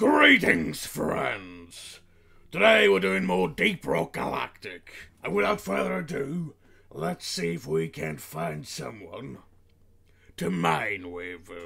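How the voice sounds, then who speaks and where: Using a put-on character voice, a raspy man with a very deep, low pitch speaks at a fairly slow pace. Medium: role play. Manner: hearty, formal and jovial.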